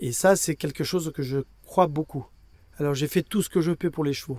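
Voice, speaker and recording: A man speaks at a moderate pace in a dark, mellow tone, with ordinary pitch variation. The sound is dry and close, with no echo. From Brazil. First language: Portuguese (speaking French). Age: 60s. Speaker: equine veterinarian. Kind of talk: interview. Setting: at an endurance race. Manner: halting.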